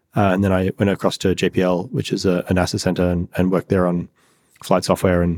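Very fast and monotone, the speech has flat intonation and a dry, close sound with no echo, in an Australian accent. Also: man. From rural Australia. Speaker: startup founder, physicist. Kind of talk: interview.

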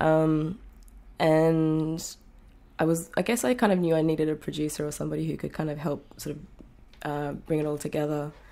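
A woman with an Australian accent speaks in a very deep, low voice with a dark, mellow tone and fairly even intonation. Her pace is moderate, broken by long, frequent pauses, on a very clean recording with a silent background. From rural Australia. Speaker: singer-songwriter. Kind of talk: interview.

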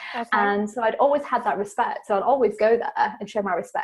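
With a British accent, a woman speaks at a fairly quick pace in a fairly high pitch, her pitch varying in an ordinary way. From England. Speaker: podcast host, guest on spiritual podcast. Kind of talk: interview conversation about spirituality.

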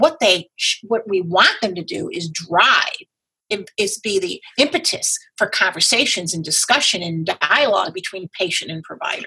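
Speaking at a moderate pace with hardly any pauses, a woman uses a normal speaking voice, medium in pitch, with lively intonation. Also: big swings in loudness. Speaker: breast density activist, former educator. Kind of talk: interview, personal story.

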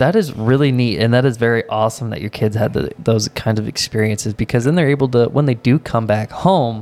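A man's unremarkable speaking voice, medium in pitch, at a fairly quick pace with hardly any pauses and ordinary pitch variation. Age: 20s. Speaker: podcast co-host. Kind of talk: casual chat.

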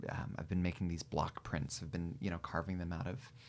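Here a man talks with an American accent. His pitch is very deep and low. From Central Valley California. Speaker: folk musician. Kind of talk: casual interview. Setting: studio.

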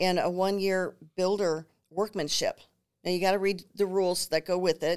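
In an American accent, a woman speaks at a moderate pace with very even loudness. Her intonation is monotone and flat. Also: medium pitch for a woman. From Minnesota, New Ulm. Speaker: home builder sales representative. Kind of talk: casual interview chat.

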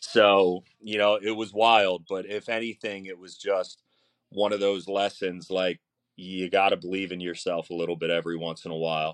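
Very deep and low, a man's voice carries a Philadelphia accent at a moderate pace with fairly even intonation. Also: big swings in loudness. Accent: Philadelphia-area American. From South Jersey, near Philadelphia. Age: 40s. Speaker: barbecue chef and teacher. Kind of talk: casual interview chat.

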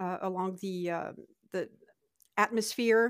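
A woman with a French accent speaks at a fairly slow pace with ordinary pitch variation. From northern France (Lille). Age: 50s. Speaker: immigrant sharing her story. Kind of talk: casual interview chat. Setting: remote call.

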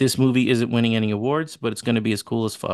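In a New York accent, a man talks at a fairly quick pace. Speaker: podcast co-host. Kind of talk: casual chat.

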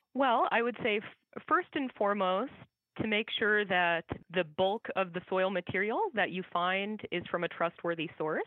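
A woman with an American accent has a plain, everyday voice at medium pitch. She talks at a fairly slow pace with ordinary pitch variation. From US Midwest (Iowa). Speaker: soil scientist. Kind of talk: interview.

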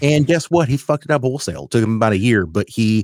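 A man with an American accent is heard on a very clean recording with a silent background and a dry, close sound with no echo. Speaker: podcast host. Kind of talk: casual chat.

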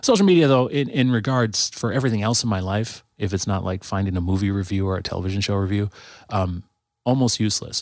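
Speech comes at a very fast pace with ordinary pitch variation. The recording is very clean, with a silent background. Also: man, fairly low pitch for a man. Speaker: guest, musician and church friend. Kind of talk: casual podcast chat.

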